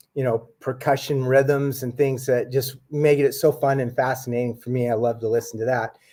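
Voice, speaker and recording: In an ordinary speaking voice, a man with an American accent and medium pitch is heard in a very clean recording with a silent background. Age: 60s. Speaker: author and UFO researcher. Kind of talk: casual chat.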